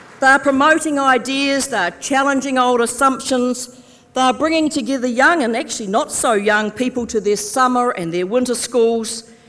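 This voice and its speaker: Upbeat in tone, a woman speaks high-pitched with ordinary variation at a moderate pace. There are hardly any pauses, and background noise is noticeable. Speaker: politician, Labour Party deputy leader. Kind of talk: political conference speech to delegates. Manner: upbeat, humorous, rousing.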